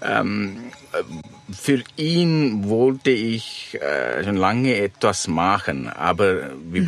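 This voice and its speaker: A man speaks at a very slow pace with lively intonation. Noticeable background noise runs underneath. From Sri Lanka. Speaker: van-life traveller and author. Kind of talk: interview. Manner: halting, with many fillers.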